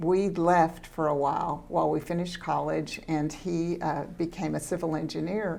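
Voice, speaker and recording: In a Texan accent, a woman with a fairly low pitch and vocal fry speaks at a moderate pace in a monotone, flat intonation with hardly any pauses. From Central Texas. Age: 70s. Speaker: school board trustee. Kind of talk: interview.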